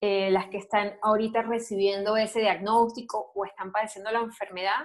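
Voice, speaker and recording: The speaker has a Venezuelan accent and a moderate pace with monotone, flat intonation. The recording is very clean, with a silent background. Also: woman. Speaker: breast cancer survivor, advertiser and announcer. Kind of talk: interview testimony.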